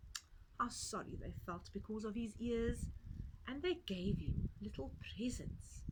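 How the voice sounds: The clip has a natural reading voice. Nothing else is listed.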